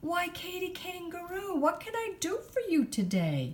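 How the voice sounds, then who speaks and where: A woman puts on a squeaky character voice pitched extremely high. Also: moderate pace. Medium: read story.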